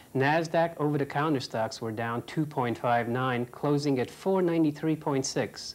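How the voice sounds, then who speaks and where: This man has an ordinary speaking voice, fairly high in pitch, moving at a moderate pace with ordinary pitch variation. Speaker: business correspondent. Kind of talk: TV business news report. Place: studio.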